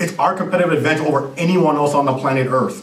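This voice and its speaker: Noticeable background noise and audible room echo surround a man with a Jamaican accent. His pitch varies in an ordinary way. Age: 30s. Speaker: business consultant and CEO. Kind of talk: conference presentation.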